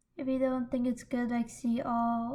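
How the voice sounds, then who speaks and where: A woman's high-pitched voice with a dark, mellow tone, at a fairly slow pace with monotone, flat intonation. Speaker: CAD software tutorial maker. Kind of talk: tutorial.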